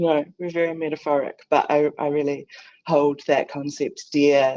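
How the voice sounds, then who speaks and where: With a New Zealand accent, a woman speaks fairly slowly in a very deep, low pitch, with a dark, mellow tone and monotone, flat intonation. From New Zealand, Tūhoe region. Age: young. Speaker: Māori visual artist and researcher. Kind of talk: conference presentation. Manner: halting, many fillers.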